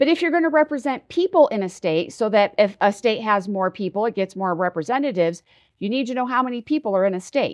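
At a very fast pace and fairly high pitch, a woman with an American accent makes very wide pitch swings in a dry, close sound with no echo over a quiet background. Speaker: president of a redistricting advocacy group. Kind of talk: interview.

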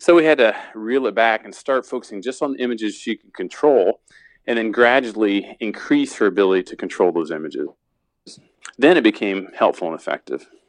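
With an American accent and an ordinary speaking voice, a man talks fairly quickly at a medium pitch, his intonation lively and his loudness swinging widely, in a dry, close sound with no echo against a quiet background. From Indiana, US Midwest. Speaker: sports psychologist and performance consultant. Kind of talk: interview.

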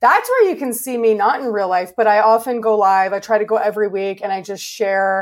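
A woman has an unremarkable speaking voice with a Canadian accent. Her pitch is fairly high, with ordinary variation. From Canada. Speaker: interior designer. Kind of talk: interview.

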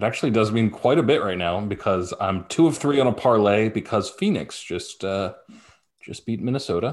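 With a normal speaking voice, a man talks at a moderate pace and a fairly low pitch. His pitch varies in an ordinary way against a quiet background. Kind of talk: casual sports banter. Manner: laid-back, joking, casual.

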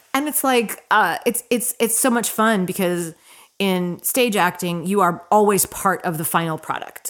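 A woman speaks in an ordinary speaking voice at a moderate pace, her intonation lively. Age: younger than 60. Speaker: actor. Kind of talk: casual chat.

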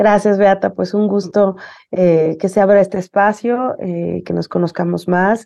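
A woman's very slow voice at medium pitch, with a dark, mellow tone and fairly even intonation. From Mexico City. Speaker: university dean. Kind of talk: interview.

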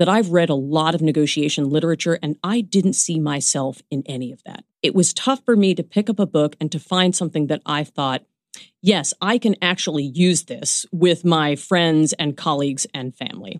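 A woman with an American accent and an ordinary speaking voice talks at a moderate pace with lively intonation and a fairly low pitch. The sound is dry and close with no echo, a very clean recording with a silent background. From New York, Brooklyn. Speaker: law professor. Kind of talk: interview.

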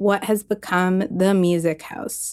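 At a fairly slow pace, a woman with an American accent speaks in a dark, mellow tone at a medium pitch, captured in a very clean recording with a silent background. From US Northeast (Maine). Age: 20s. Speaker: writer and climate communicator. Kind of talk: scripted narration.

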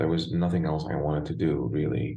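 A man speaks in a very deep, low pitch with a dark, mellow tone. Vocal fry runs through his voice. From Lebanon, Beirut. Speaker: opera and crossover singer. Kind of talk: interview. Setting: video call.

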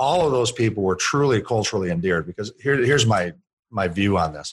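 A man with a fairly low pitch speaks at a fairly quick pace with lively intonation. It is an unremarkable speaking voice. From US, Puerto Rican father and Kentucky mother. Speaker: author and founder of a cultural training company. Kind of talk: podcast interview.

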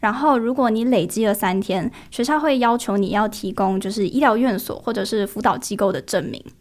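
With an ordinary speaking voice, a woman talks at a fairly quick pace in a fairly high pitch, with ordinary pitch variation and hardly any pauses. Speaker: university student. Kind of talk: podcast interview.

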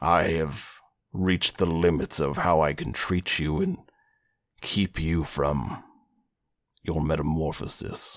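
A man's put-on character voice, raspy and very deep in pitch, fairly slow with long, frequent pauses. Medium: actual play. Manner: measured, reflective.

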